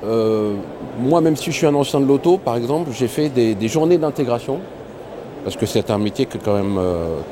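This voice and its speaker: Over noticeable background noise, a man talks at a medium pitch. His pitch swings very widely. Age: 50s. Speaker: franchise owner. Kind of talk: interview testimony. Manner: hesitant, many fillers.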